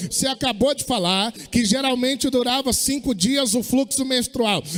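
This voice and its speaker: Noticeable background noise surrounds a man with an extremely high voice. He talks at a fairly slow pace with ordinary pitch variation. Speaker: pastor. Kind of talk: sermon.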